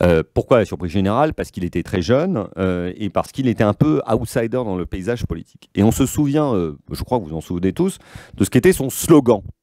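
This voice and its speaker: Against a quiet background, a man with a fairly low pitch and a dark, mellow tone swings his pitch very widely, in a dry sound with no echo. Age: 40s. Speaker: communications consultant, former political adviser; guest. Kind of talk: lecture. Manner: halting, frequent repetitions and fillers. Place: meeting room. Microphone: podium.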